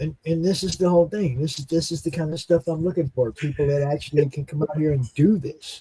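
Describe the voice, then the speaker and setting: The voice is dark, mellow and somewhat breathy, with fairly even intonation at a very fast pace. The sound is dry and close, with no echo. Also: man, fairly high pitch for a man. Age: 60s. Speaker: guest host of live talk show. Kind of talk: casual chat. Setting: live stream show.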